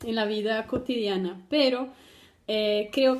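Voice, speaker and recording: Speaking at a fairly slow pace, a woman with a fairly high pitch keeps a monotone, flat intonation. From Brazil. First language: Portuguese (speaking Spanish). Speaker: doctoral student. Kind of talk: personal testimony for a class video. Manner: halting, many fillers.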